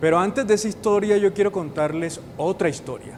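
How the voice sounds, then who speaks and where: Speaking with a Caribbean Colombian accent, a man talks at a moderate pace with ordinary pitch variation. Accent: Colombian Caribbean coastal. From northern Colombia (Caribbean coast). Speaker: university professor. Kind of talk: educational explainer. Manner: engaging, uses rhetorical questions.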